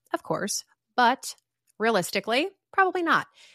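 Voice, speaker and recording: A woman talks at a fairly quick pace in a high-pitched, raised, projected voice with a bright, sharp tone and very wide pitch swings. The recording is very clean, with a silent background and a dry, close sound with no echo. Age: 40s. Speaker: podcast host. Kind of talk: solo podcast monologue.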